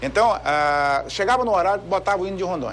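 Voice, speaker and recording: A man speaks at a high pitch and a fairly quick pace. His pitch swings very widely. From Brazil, Brasília. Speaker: audit court president. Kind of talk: TV interview.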